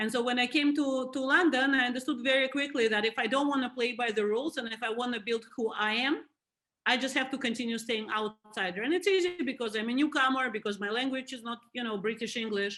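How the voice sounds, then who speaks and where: A high-pitched woman talks at a very fast pace in a Russian accent, with ordinary pitch variation. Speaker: museum board chair. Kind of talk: interview.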